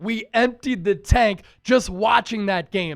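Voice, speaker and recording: Animated in tone, a man speaks in a high voice with ordinary pitch variation. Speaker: sports show host. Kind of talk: sports reaction show.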